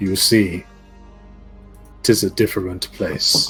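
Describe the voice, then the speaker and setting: A man's put-on character voice, fairly low in pitch, at a fairly slow pace, with clear music in the background. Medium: actual play. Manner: archaic, measured.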